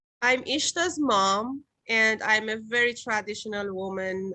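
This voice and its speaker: A woman speaks with a non-native accent in a bright, sharp tone. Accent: foreign. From Iran. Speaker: stage actress. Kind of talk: interview. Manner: halting.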